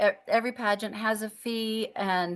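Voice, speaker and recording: Over a quiet background, a woman with an American accent speaks at medium pitch. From Minnesota, rural. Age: 60s. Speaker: retired music teacher and senior pageant queen. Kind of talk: casual interview chat. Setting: podcast interview. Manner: halting, many false starts.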